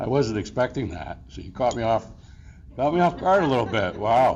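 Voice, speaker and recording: Amid noticeable background noise and audible room echo, a man speaks at a medium pitch with lively intonation. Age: 60s. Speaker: award recipient. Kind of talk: acceptance speech. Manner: halting, filler-heavy.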